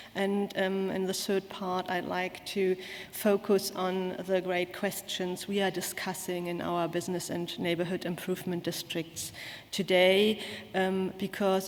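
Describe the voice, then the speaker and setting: Speaking in a German accent, a woman has a medium pitch, a fairly slow pace and monotone, flat intonation. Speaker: conference speaker. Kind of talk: conference talk. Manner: halting.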